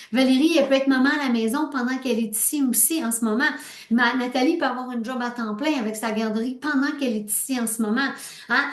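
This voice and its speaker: Amid noticeable background noise and audible room echo, a woman speaks at a very fast pace with a high pitch and ordinary pitch variation. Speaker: sales team leader. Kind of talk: team meeting pep talk. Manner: animated.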